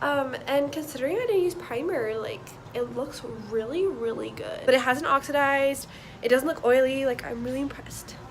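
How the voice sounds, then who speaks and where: With lively intonation and a high pitch, a woman is heard through noticeable background noise and audible room echo. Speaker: beauty vlogger. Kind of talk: product review vlog. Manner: casual, filler words; quiet.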